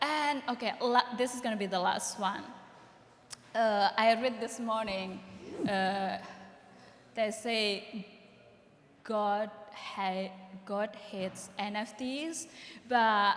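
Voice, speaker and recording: A woman with a fairly high pitch speaks at a very slow pace, leaving long, frequent pauses. Her pitch variation is ordinary. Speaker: panelist, photographer or artist. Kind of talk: panel discussion. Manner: loud.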